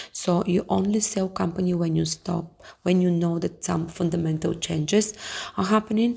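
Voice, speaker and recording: A woman's fairly low voice with a Bulgarian accent and fairly even intonation. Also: moderate pace. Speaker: investing YouTuber. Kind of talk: casual tutorial. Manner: halting, many fillers.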